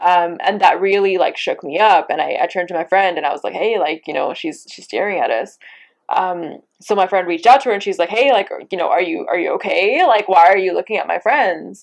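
Against a quiet background, a woman with a Canadian accent speaks at a medium pitch and a fairly quick pace. Hers is an ordinary speaking voice with ordinary pitch variation. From Abbotsford, British Columbia, Canada. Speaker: poet and writer. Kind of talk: interview conversation.

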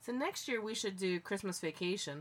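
In an ordinary speaking voice, a woman talks at a moderate pace and medium pitch. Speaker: co-host.

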